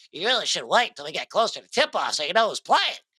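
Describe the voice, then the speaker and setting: This is a put-on character voice. It goes by at a very fast pace. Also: fairly high pitch, very wide pitch swings. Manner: mocking.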